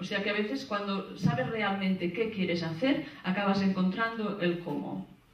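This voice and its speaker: There is audible room echo as a woman talks at a fairly slow pace. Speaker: speaker. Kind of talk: conference presentation. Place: hall.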